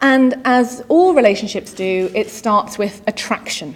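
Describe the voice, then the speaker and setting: A normal speaking voice comes through with ordinary pitch variation. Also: woman. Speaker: digital marketing executive, conference speaker. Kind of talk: conference keynote. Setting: stage with audience.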